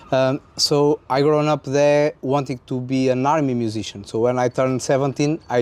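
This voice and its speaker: Medium-pitched speech from a man with a Portuguese accent, dark and mellow in tone, his intonation fairly even. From central north Portugal. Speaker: trumpeter. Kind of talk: interview.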